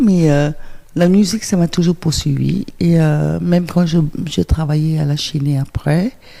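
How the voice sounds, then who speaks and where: A woman at a fairly slow pace, with very even loudness. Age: 60s. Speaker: interview guest, former TV presenter and technician. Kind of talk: radio interview. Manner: hesitant, many fillers.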